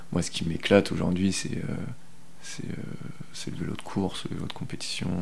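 Audible room echo surrounds a man with a very deep, low pitch and fairly even intonation. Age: 30s. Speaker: bicycle mechanic. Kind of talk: interview testimony. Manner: hesitant, many fillers and repetitions; casual, colloquial.

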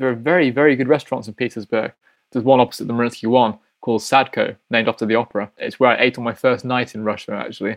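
Speaking in a Yorkshire accent at a very fast pace, a man with a medium pitch keeps his intonation fairly even. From East Yorkshire, Hull. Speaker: ballet dancer. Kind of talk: interview.

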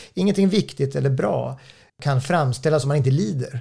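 With a dark, mellow tone and lively intonation, a man speaks at a fairly high pitch, somewhat breathy. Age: 40s. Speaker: author. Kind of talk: interview. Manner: halting.

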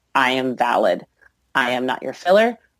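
Very deep, low female voice at a moderate pace, on a very clean recording with a silent background. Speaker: burlesque performer and singer. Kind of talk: interview.

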